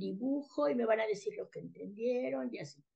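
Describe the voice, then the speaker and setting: A woman with a dark, mellow tone and vocal fry speaks at a moderate pace. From Mexico City. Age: 60s. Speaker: author and educator. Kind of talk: casual interview.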